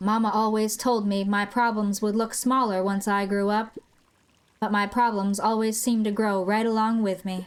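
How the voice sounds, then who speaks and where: A woman puts on a gruff character voice, fairly high in pitch. Her intonation stays monotone and flat at a moderate pace. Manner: muttering.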